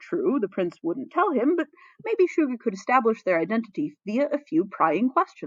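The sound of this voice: With a slightly husky edge and fairly high pitch, a woman speaks at a moderate pace with big pitch swings, the sound dry and close with no echo.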